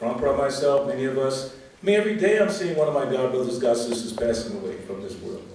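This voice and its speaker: A man talks at a fairly quick pace with lively intonation. Audible room echo and noticeable background noise fill the recording. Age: 70s. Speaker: senior devotee speaker at temple festival. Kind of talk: religious talk to congregation. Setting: temple festival with audience. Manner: animated, exhorting.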